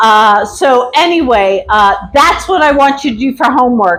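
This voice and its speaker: A woman speaks loudly at a high pitch. Her pitch swings very wide. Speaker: activism class instructor. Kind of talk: lecture. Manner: casual.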